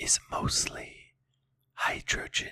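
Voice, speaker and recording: Someone whispers at a very slow pace. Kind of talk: ASMR whisper educational narration. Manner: whispered.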